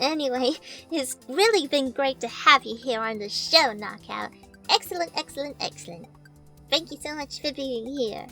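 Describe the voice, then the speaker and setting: A woman puts on a high-pitched character voice at a moderate pace. Clear music plays in the background. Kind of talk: mock interview host. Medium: role play. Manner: hesitant, awkward.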